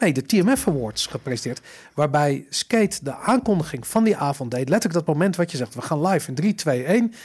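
With a fairly high pitch, a man speaks at a fairly quick pace, his pitch swinging very widely. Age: 40s. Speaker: podcast host. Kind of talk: casual chat. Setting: studio. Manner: stammering, repeats words.

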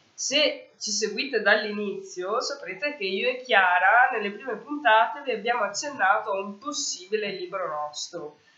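Noticeable background noise sits behind a woman with a fairly high pitch and lively intonation. She talks at a moderate pace with hardly any pauses. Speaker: podcast co-host, association president. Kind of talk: casual chat. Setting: book fair.

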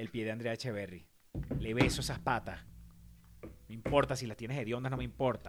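Using a medium pitch and vocal fry, a man talks at a fairly quick pace with fairly even intonation, broken by long, frequent pauses. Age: 40s. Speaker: podcast co-host. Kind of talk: casual chat.

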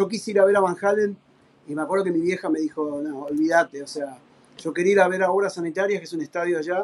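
With an Argentine accent and a high voice, a man talks very fast over noticeable background noise. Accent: Rioplatense Argentine Spanish. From Argentina. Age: 50s. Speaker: professional drummer. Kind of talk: casual interview chat.

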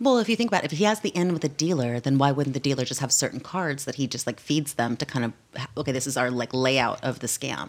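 A woman with a very deep, low pitch talks at a very fast pace with hardly any pauses and lively intonation. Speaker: podcast co-host. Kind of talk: casual chat.

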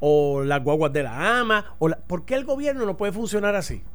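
This man has a high pitch and lively intonation. He talks at a fairly quick pace. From Puerto Rico. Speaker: radio talk show host. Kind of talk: casual political discussion.

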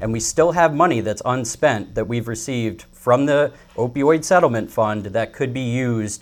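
Using a plain, everyday voice, a man with an American accent talks at a moderate pace and medium pitch with ordinary pitch variation. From Sullivan County, New York. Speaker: political candidate. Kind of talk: political debate.

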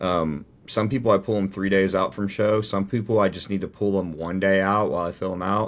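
An unremarkable speaking voice from a man, fairly low-pitched and fairly quick, with fairly even intonation on a very clean recording against a silent background. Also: hardly any pauses. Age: 30s. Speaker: bodybuilding coach and athlete. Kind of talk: casual chat.

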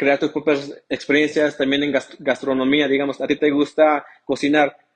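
A man speaks at a moderate pace in a fairly high register. The sound is dry and close, with no echo. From Mexico, raised in the US from age 8. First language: English (speaking Spanish). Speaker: returned migrant, real estate worker. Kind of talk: interview.

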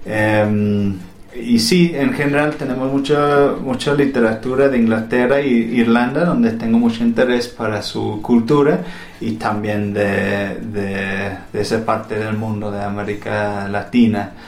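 Amid audible room echo and noticeable background noise, a man speaks fairly slowly at a medium pitch with ordinary pitch variation. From England. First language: English (speaking Spanish). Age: 30s. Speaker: poet and school administrator. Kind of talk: interview. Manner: halting, many fillers and repeats.

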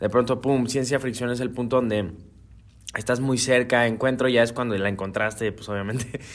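Here a man uses an ordinary speaking voice at medium pitch. His pace is moderate and his intonation fairly even. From Guadalajara, Mexico. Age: young. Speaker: singer-songwriter. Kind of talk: interview.

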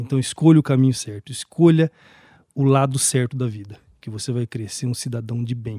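A man's medium-pitched, somewhat breathy voice with a dark, mellow tone, at a moderate pace, with a dry, close sound and no echo. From Brazil, Campo Grande (Mato Grosso do Sul). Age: 40s. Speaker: municipal human rights official. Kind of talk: interview.

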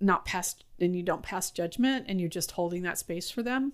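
A woman with a Californian accent, medium in pitch, with ordinary pitch variation and a moderate pace. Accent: Californian American. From US West Coast, San Francisco. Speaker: school administrator. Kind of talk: interview.

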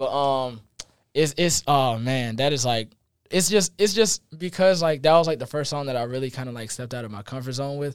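A man with an American accent uses a normal speaking voice, fairly high in pitch with ordinary pitch variation. He talks at a fairly quick pace with big swings in loudness. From Columbia, South Carolina. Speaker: college student musician. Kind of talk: casual interview. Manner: casual, filler-heavy.

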